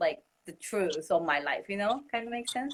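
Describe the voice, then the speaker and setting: A woman with a Japanese accent at a fairly slow pace. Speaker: musician and music teacher. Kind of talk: interview.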